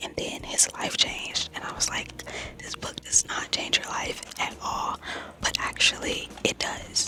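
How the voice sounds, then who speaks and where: Someone whispers at a fairly slow pace, with noticeable background noise around them. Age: 20s. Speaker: book YouTuber. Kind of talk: casual vlog talk. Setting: library. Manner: whispering.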